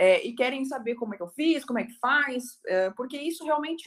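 A woman's voice, high in pitch. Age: 20s. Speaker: criminal defence lawyer. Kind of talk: webinar talk.

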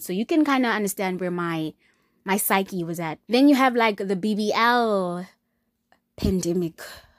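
A woman at a moderate pace and medium pitch, animated in tone with ordinary pitch variation, in a dry, close sound with no echo and a very clean recording with a silent background. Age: 20s. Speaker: podcast host. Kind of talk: personal podcast monologue. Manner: casual, animated, candid.

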